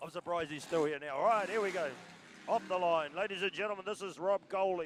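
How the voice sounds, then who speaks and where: The speaker has a New Zealand accent and talks at a very fast pace. Pitch varies in an ordinary way. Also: man, high pitch for a man. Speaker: motorsport commentator. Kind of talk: live commentary. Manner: animated.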